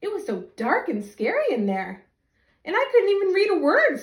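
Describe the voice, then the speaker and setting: This is a put-on character voice delivered at a moderate pace. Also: woman, extremely high pitch for a woman. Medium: read story.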